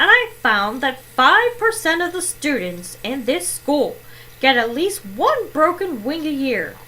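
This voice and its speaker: A woman's put-on character voice, high-pitched with very wide pitch swings, at a fairly slow pace over clear background noise. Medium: read story.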